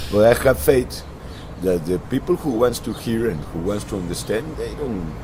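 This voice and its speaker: Noticeable background noise and audible room echo surround a man speaking with lively intonation. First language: Spanish. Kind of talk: casual religious discussion. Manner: halting.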